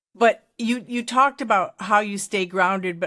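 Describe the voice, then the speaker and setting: At a very slow pace, a woman speaks in a bright, sharp tone on a very clean recording with a silent background. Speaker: podcast host. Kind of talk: interview.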